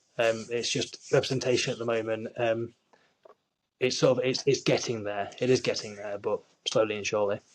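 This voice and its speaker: A man at a medium pitch, fairly quick in pace, with monotone, flat intonation. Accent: Yorkshire. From Yorkshire, northern England. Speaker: actor. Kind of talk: interview.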